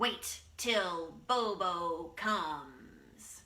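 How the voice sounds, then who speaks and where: A woman puts on a growling character voice at a medium pitch with ordinary pitch variation. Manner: snarling.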